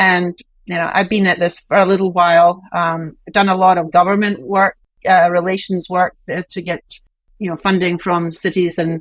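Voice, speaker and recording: With a Scottish accent, a woman speaks at a moderate pace in a monotone, flat way, the sound dry and close with no echo. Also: fairly low pitch for a woman, quiet background. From Scotland. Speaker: university president. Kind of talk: interview.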